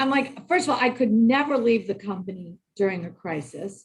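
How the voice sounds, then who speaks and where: A woman's loud voice swings very widely in pitch while she keeps a moderate pace. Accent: American. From US Northeast, Boston. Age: 60s. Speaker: human resources executive. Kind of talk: interview conversation.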